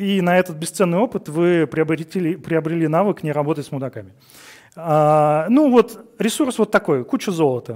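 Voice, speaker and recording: Lively intonation marks a man's high-pitched speech. The background is quiet. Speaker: conference speaker, engineering director; conference speaker. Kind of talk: conference talk. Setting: stage with audience. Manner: fast. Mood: humorous, relaxed. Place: studio.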